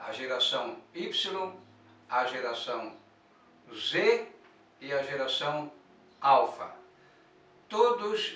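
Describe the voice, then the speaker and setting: A man speaks at a very slow pace with long, frequent pauses and big swings in loudness, and the room echo is audible. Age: 60s. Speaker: church elder and prophecy teacher. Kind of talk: religious teaching monologue.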